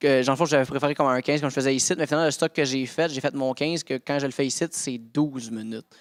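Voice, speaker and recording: Speaking at a very fast pace with hardly any pauses, a man sounds animated at a fairly high pitch. The sound is dry and close with no echo, and the recording is very clean with a silent background. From Quebec. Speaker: stand-up comedian. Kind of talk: casual chat.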